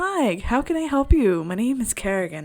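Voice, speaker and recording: A female-sounding, put-on character voice with very wide pitch swings. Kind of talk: polite, professional. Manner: cheerful, helpful.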